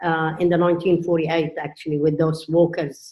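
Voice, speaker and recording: At a moderate pace, a woman talks in a flat monotone with a very deep, low pitch. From Jordan. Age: 60s. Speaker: family business co-owner. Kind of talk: interview.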